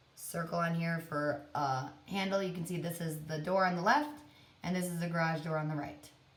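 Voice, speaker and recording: Audible room echo surrounds a woman speaking at a moderate pace and a fairly low pitch. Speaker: art teacher. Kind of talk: tutorial.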